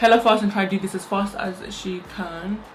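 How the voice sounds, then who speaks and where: A woman talks in a monotone, flat intonation with noticeable background noise behind her. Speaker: beauty vlogger. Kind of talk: makeup tutorial. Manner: fast.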